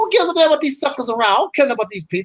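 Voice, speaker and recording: This man's voice is extremely high and loud. His tone is animated. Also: dry, close sound with no echo. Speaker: YouTube commentator. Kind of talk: casual chat.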